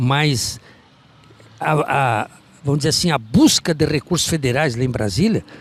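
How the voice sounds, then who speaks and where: Lively intonation in a man's somewhat breathy, fairly high-pitched voice. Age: 80s+. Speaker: veteran local politician. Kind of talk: interview. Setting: outdoors in the street.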